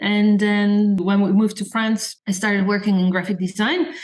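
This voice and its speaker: Over noticeable background noise, a woman speaks with a slight Dutch accent. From Netherlands. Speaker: designer and blogger. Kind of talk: podcast interview.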